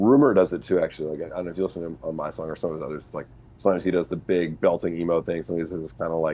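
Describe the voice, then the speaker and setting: A man's very deep, low voice with a dark, mellow tone, fairly even intonation and a very fast pace. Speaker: music producer and streamer. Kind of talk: casual chat. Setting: live stream. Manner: casual, halting with many fillers.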